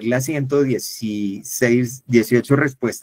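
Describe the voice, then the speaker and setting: Here is a man with an ordinary speaking voice, medium pitch and fairly even intonation. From Colombia, Valle del Cauca. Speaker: workshop facilitator. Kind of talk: online workshop talk.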